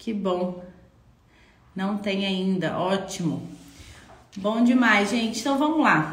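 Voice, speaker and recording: The voice belongs to a woman, with ordinary pitch variation. Audible room echo surrounds her speech. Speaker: architecture office owner and live-stream mentor. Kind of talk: live stream Q&A. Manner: conversational.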